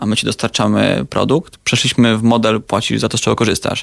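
A man of medium pitch talks at a fairly quick pace with vocal fry and fairly even intonation. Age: 20s. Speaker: startup co-founder. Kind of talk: radio interview.

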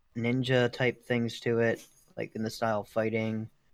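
The voice belongs to a man. It holds a medium pitch. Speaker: podcast co-host. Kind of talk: casual chat.

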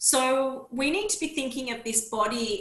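A woman takes a fairly slow pace while noticeable background noise carries on behind her. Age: 30s. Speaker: naturopath and women's health mentor. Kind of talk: interview.

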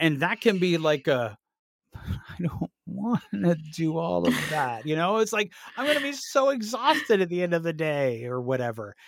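This man puts on a whiny character voice, pitched high. He speaks at a moderate pace.

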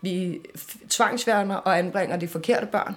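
The speaker is a woman with a medium-pitched voice. She talks at a fairly slow pace with fairly even intonation. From Denmark, Amager (Copenhagen). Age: 20s. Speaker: author and children's advocate. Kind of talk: interview testimony. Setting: café.

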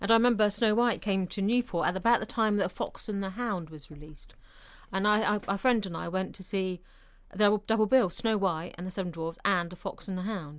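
At a fairly quick pace, a woman speaks in an ordinary speaking voice at medium pitch with ordinary pitch variation. The recording is very clean, with a silent background. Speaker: co-host. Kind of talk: casual chat.

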